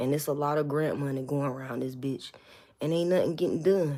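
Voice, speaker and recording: The woman has a very deep, low pitch, a dark, mellow tone and fairly even intonation. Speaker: rapper and livestreamer. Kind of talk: casual livestream chat. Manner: talking low.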